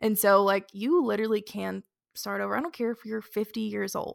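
Recorded very cleanly over a silent background, a woman speaks at a moderate pace in a dry, close sound with no echo. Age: 20s. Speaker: podcast co-host. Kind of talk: casual chat.

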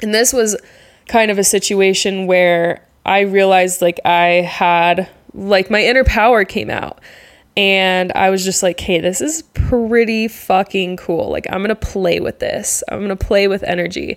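On a very clean recording with a silent background, a woman with an ordinary speaking voice talks at a fairly slow pace, with medium pitch and fairly even intonation. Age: 20s. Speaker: podcast host and travel content creator. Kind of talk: solo podcast monologue. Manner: casual, laughing often.

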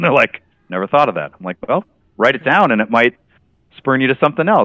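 Lively intonation in an ordinary speaking voice. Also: man. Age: 50s. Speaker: tabletop game master. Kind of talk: casual interview.

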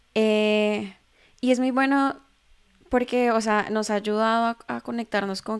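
A woman speaks at a fairly slow pace with medium pitch. The recording is very clean, with a silent background. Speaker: podcast host and translation business owner. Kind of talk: casual interview. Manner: soft-spoken.

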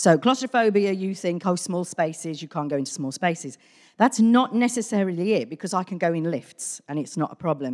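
This woman has a British accent and a fairly low pitch. Her intonation is lively and her pace fairly quick. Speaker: church member. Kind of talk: testimony. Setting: church.

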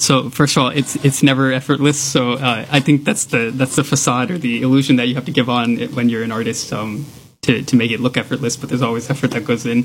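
A man with an American accent, very fast and with hardly any pauses, in fairly even intonation. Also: medium pitch for a man. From Texas. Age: 20s. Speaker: violinist and engineer. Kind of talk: radio interview. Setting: radio studio.

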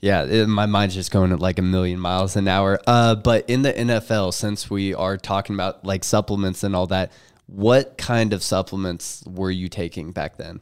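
In a very clean recording with a silent background, a man with a normal speaking voice talks at a fairly low pitch and moderate pace, his intonation fairly even and hardly any pauses. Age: 20s. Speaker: podcast co-host. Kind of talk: casual podcast interview.

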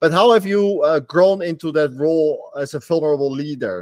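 The speech is in a Dutch accent, with a dry, close sound and no echo. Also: man. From Netherlands. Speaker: podcast host. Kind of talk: interview, casual chat.

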